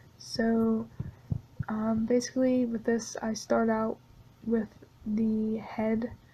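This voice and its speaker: Very slow speech from a woman, fairly high in pitch yet dark and mellow in tone, somewhat breathy and flat in intonation, broken by long, frequent pauses. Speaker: artist narrating drawing video. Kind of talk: casual voice-over narration. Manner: monotone; hesitant, many fillers.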